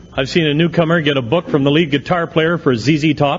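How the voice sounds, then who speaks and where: A man talks at a fairly high pitch. His pitch variation is ordinary, and there is noticeable background noise. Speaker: AA speaker. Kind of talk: recovery talk at a convention. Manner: animated.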